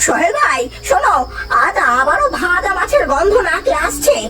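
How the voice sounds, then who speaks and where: A cartoonish character voice talks at a moderate pace. Background noise is clearly heard. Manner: nosy, sly.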